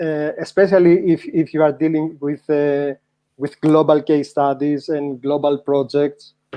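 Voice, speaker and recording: In a Greek accent, a man speaks at a fairly slow pace. His fairly high voice stays monotone and flat. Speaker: SEO practitioner, panel guest. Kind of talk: panel discussion. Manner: halting.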